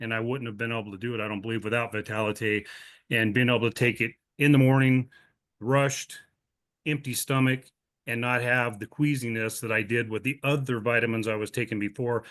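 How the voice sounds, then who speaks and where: At a fairly quick pace, a man with an American accent talks in an unremarkable speaking voice at a medium pitch with fairly even intonation. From Montana. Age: 60s. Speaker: customer giving product testimonial. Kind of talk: testimony. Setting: video call.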